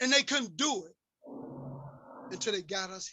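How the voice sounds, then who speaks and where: A man is speaking. His pace is fairly slow. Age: 60s. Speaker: community activist speaker. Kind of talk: impassioned lecture. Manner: animated.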